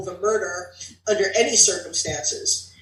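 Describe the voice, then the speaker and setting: A woman with an American accent talks at a moderate pace in a fairly high pitch, with noticeable background noise and audible room echo. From New Jersey. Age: 60s. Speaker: author. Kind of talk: reading aloud.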